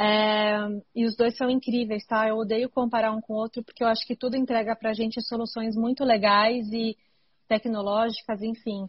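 A woman speaks at a moderate pace with monotone, flat intonation. Her fairly high voice is somewhat breathy. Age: 30s. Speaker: mountain bike racer and podcast host. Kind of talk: casual chat.

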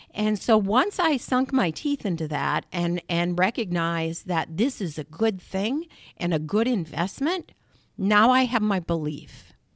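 With an American accent, a woman has an unremarkable speaking voice at medium pitch, speaking fairly slowly with lively intonation. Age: 60s. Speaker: state senator. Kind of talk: interview. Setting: studio.

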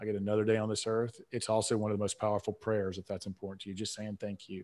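A fairly low-pitched man with a Southern US accent against a quiet background. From South Atlanta, Georgia. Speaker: author and business coach. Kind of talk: interview, motivational talk. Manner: animated, motivational.

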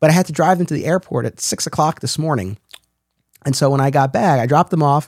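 Very fast and fairly high-pitched, a man talks with ordinary pitch variation in a dry, close sound with no echo. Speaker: podcast host. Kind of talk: scripted intro and casual interview chat.

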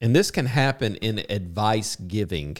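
On a very clean recording with a silent background, a man with a plain, everyday voice speaks at a moderate pace in a fairly low pitch with ordinary pitch variation. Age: 50s. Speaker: podcast co-host, commission salesman. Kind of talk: casual chat.

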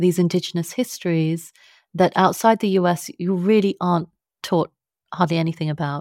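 With a London accent, a woman speaks at a fairly low pitch with fairly even intonation, in a very clean recording with a silent background and a dry, close sound with no echo. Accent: British (London). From London, England. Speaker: author and science journalist. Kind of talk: interview conversation.

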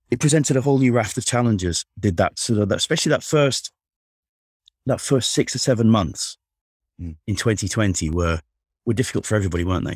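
Delivered at a fairly quick pace with lively intonation and long, frequent pauses, the speech has a dry, close sound with no echo on a very clean recording with a silent background. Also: man, medium pitch for a man. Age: 40s. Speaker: city councillor. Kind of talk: casual interview. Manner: halting.

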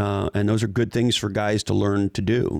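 Recorded very cleanly against a silent background, a man with a fairly low voice speaks at a moderate pace with vocal fry. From Montreal, Canada. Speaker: tech executive and business author. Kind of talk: interview conversation.

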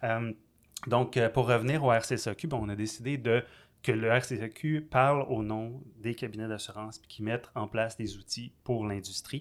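Delivered in a Quebec accent at a fairly slow pace, the speech has fairly even intonation and big swings in loudness on a very clean recording with a silent background. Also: man, medium pitch for a man. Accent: Québécois French. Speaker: podcast host, insurance broker. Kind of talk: casual interview.

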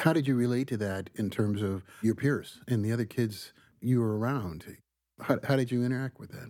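A dark, mellow tone with ordinary pitch variation. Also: man, medium pitch for a man, moderate pace, very clean recording, silent background. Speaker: podcast host. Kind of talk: interview. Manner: hesitant, uses fillers.

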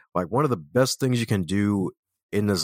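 A man with an American accent speaks at a fairly quick pace in an energetic, animated tone, his voice resonant and fairly low. The sound is dry and close with no echo, in a very clean recording with a silent background. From Baltimore, US. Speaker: author and speaker. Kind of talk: casual interview.

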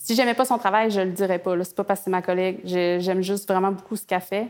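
With music in the background, a woman speaks at a very fast pace with hardly any pauses, at medium pitch and with fairly even intonation. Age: 30s. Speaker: visual artist and author. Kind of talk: interview. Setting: artist studio.

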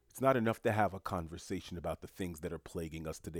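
With a New York accent, a man speaks in an animated tone with ordinary pitch variation, in a dry, close sound with no echo on a very clean recording with a silent background. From New York City, Haitian family. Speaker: solo podcast host. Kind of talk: solo commentary monologue.

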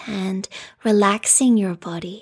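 A woman speaks in a gentle, soothing tone that is somewhat breathy. The recording is very clean, with a silent background. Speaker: restorative yoga teacher. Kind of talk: guided meditation. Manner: slow, soothing, calm; soft-spoken, gentle, with long pauses.

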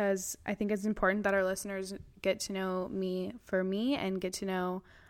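Heard on a very clean recording with a silent background, a woman with an American accent uses an ordinary speaking voice at a moderate pace and medium pitch. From California. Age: 20s. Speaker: podcast host. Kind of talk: casual chat.

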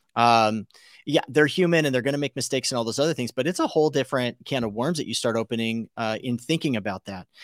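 A very fast delivery with a Californian accent, ordinary pitch variation, and a dry, close sound with no echo against a silent, very clean background. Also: man, medium pitch for a man. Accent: Californian American. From US West Coast (Los Angeles area). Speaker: podcast host. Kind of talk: interview.

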